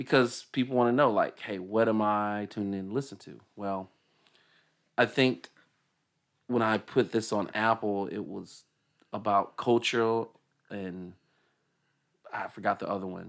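A man at a fairly slow pace with fairly even intonation, long, frequent pauses and big swings in loudness, on a very clean recording with a silent background. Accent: Southern US. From Decatur, Georgia.

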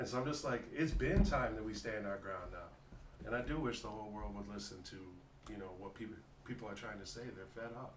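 A man with a fairly low pitch and ordinary pitch variation talks at a fairly quick pace over noticeable background noise. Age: 40s. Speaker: hip hop artist. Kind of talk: casual interview. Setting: studio.

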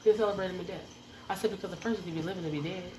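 An animated woman with a fairly low pitch, ordinary pitch variation and an American accent, over noticeable background noise. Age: 40s. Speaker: podcast host. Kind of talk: angry rant, venting about betrayal and fake people. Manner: heated and confrontational, warning people directly; animated and preachy, repetitive exhortations.

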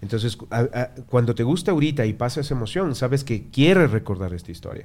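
A man's dark, mellow tone at a fairly quick pace. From Ecuador. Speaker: tattoo artist. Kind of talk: casual chat. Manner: animated.

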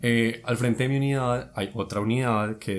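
Heard in a very clean recording with a silent background, a man has a normal speaking voice, fairly low in pitch with ordinary pitch variation. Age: 20s. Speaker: guest storyteller. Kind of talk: casual chat.

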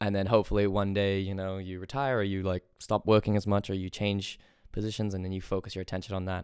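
A man with an American accent in a monotone, flat intonation at a very fast pace, on a very clean recording with a silent background. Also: fairly low pitch for a man. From England. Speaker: podcast host. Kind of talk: casual chat.

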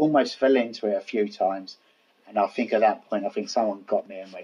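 This man speaks with a Cockney accent. His pitch sits fairly low. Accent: Cockney, London. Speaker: podcast co-host. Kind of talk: casual, conversational storytelling.

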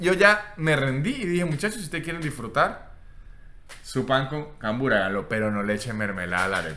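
A man's voice swings very widely in pitch, broken by long, frequent pauses. Room echo is audible throughout. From Venezuela. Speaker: comedian. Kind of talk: casual chat. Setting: hotel room.

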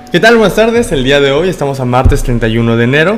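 Over noticeable background noise, a man talks at a very fast pace. His medium-pitched voice has lively intonation. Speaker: podcast host. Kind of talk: casual interview.

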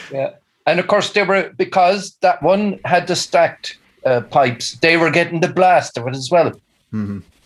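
Speaking in a Kerry accent, a man uses a high pitch and lively intonation. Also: moderate pace. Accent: Kerry Irish. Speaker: musician. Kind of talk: casual chat. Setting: video call.

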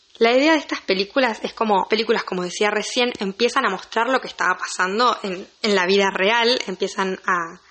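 Over noticeable background noise, a woman speaks in a Rioplatense accent. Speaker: film podcaster. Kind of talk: solo podcast monologue. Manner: casual, chatty.

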